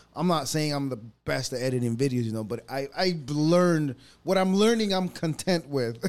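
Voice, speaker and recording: A man in an ordinary speaking voice talks at a moderate pace with a fairly high pitch and lively intonation. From US, born in El Salvador, moved at 11. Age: 30s. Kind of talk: scripted show segment; casual interview chat.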